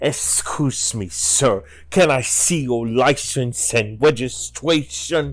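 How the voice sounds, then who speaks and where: A man puts on a character voice at a medium pitch, with ordinary pitch variation. He goes at a very slow pace, and hissing can be heard. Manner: intense, officious.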